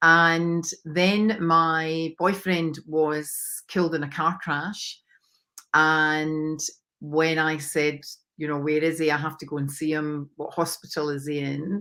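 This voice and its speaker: A woman speaks very slowly in a Scottish accent, her pitch very deep and low and her intonation flat and monotone. The tone is bright and sharp, and the recording is very clean with a silent background. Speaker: mindset coach. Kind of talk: interview.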